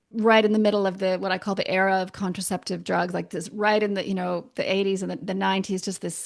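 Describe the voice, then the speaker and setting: With a Canadian accent, a woman talks at a fairly quick pace and medium pitch, monotone and flat, against a quiet background. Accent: Canadian, persistent. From Canada. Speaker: naturopathic doctor. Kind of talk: podcast interview. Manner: casual, hesitant with fillers.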